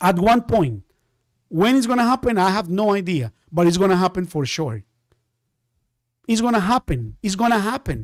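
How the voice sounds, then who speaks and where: A man with a Spanish accent and a high voice speaks at a moderate pace with an animated tone and lively intonation, leaving long, frequent pauses, in a dry, close sound with no echo. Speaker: day trading teacher. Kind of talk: live-stream trading class.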